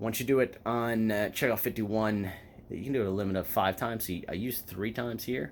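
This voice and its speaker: In a very clean recording with a silent background, a man with a fairly low pitch speaks at a fairly quick pace with ordinary pitch variation. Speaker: couponing YouTuber. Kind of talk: tutorial. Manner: fast; casual.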